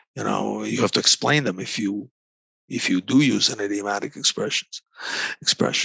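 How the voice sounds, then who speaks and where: A man talks at a moderate pace with a Croatian accent. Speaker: negotiation consultant. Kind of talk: interview. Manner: halting, many repeated words.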